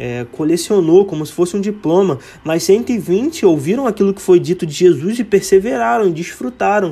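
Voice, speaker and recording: A man speaks at a moderate pace with a high pitch, lively intonation, a dark, mellow tone, big swings in loudness and hardly any pauses. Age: 20s. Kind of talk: devotional monologue. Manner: casual.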